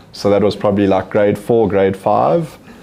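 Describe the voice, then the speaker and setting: A man at a moderate pace, fairly low in pitch with fairly even intonation, amid audible room echo and noticeable background noise. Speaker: company CEO and entrepreneur. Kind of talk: interview on stage. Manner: monotone.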